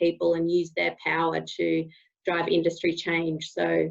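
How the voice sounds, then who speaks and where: In an Australian accent, a woman talks at a fairly slow pace with a fairly low pitch. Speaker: co-founder of a brand rating app. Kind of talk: panel webinar discussion. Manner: halting, many fillers.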